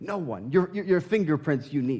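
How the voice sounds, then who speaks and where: A man with an American accent, animated in tone, with lively intonation at a moderate pace. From southern Indiana. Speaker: pastor. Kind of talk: sermon. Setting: church.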